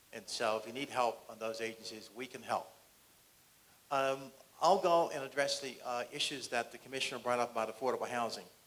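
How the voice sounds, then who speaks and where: Ordinary pitch variation in a man's voice set at a medium pitch. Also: fairly quick pace. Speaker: county housing department official. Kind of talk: public forum panel remarks. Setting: community forum at senior center. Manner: fast.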